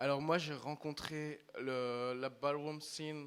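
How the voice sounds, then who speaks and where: A man with a French accent, fairly high-pitched, speaking very slowly in a flat monotone. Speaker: ballroom community member. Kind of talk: panel talk.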